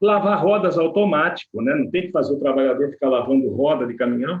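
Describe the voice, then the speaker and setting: A man with a normal speaking voice and fairly high pitch speaks with lively intonation. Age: 60s. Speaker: workplace safety expert. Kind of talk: webinar presentation.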